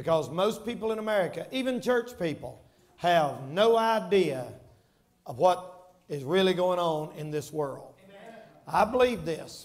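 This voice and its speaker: A man speaks at a fairly slow pace with lively intonation. He leaves long, frequent pauses. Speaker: preacher. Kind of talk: sermon. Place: church. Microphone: headset.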